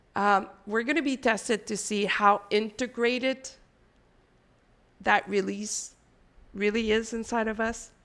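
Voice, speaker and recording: Recorded very cleanly against a silent background, a woman with a non-native accent speaks at a fairly slow pace with long, frequent pauses. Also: fairly high pitch for a woman. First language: not English. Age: 40s. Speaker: spiritual channeler. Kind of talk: spiritual energy update monologue. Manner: casual, conversational with fillers.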